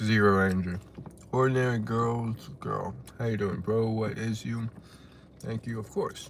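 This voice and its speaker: Over noticeable background noise, a man with an American accent speaks at medium pitch and a moderate pace, his intonation fairly even, with long, frequent pauses. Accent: Texan accent, noticed by chat. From West Texas. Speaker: live streamer. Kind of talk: casual live stream chat, reading comments.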